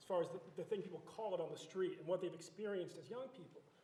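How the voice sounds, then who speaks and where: A man with a high voice and ordinary pitch variation, amid noticeable background noise. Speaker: criminologist and panel moderator. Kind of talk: panel moderation. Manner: halting, stuttering.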